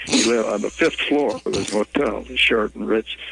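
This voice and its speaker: Over noticeable background noise, a man with an Upper Midwest accent speaks at a fairly quick pace. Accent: Upper Midwest American. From Minnesota (Ely). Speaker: journalist. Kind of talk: storytelling interview.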